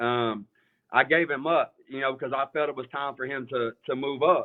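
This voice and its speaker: A man's fairly high voice with an East Tennessee accent, fairly slow in pace, with ordinary pitch variation. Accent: US Southern (East Tennessee). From Eastern Tennessee (Morristown, near Knoxville). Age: 30s. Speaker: sneaker reseller, store owner. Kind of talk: casual interview on livestream. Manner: halting, many fillers.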